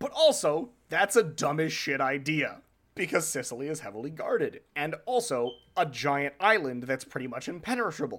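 A man with very wide pitch swings on a very clean recording against a silent background. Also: fairly high pitch for a man, moderate pace. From New Hampshire. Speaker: podcast co-host. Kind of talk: podcast outro and plugs; casual chat.

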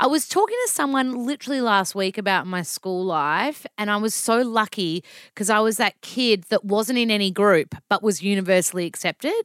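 A woman with a strong Australian accent speaks at a moderate pace and a medium pitch, on a very clean recording with a silent background. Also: dry, close sound with no echo. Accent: broad Australian. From Melbourne, Australia. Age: 30s. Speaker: nutritionist and author. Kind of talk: casual chat. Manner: animated, casual.

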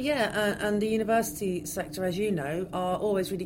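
A woman speaks at a fairly quick pace with fairly even intonation. Noticeable background noise and audible room echo fill the recording. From West Country, England. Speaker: archaeologist. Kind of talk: interview.

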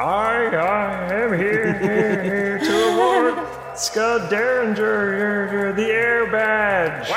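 A man puts on a character voice with a high pitch, speaking at a very slow pace. Clear echo and loud background noise surround him.

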